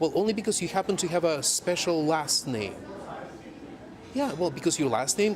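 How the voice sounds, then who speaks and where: A man speaks with a Russian accent. His pitch is fairly high and his pace moderate. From Soviet Union. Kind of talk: documentary interview.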